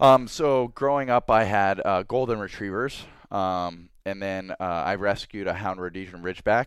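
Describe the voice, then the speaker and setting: A man with a fairly low pitch and an unremarkable speaking voice talks at a moderate pace with hardly any pauses, in a very clean recording with a silent background. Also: ordinary pitch variation. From US South, Atlanta. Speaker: hockey player. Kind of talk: casual interview.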